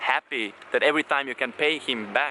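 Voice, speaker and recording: With a non-native accent, a man talks at a fairly quick pace with ordinary pitch variation. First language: not English. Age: 20s. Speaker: blogger. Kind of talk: casual video blog monologue. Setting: talking to camera. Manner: halting, repeats words.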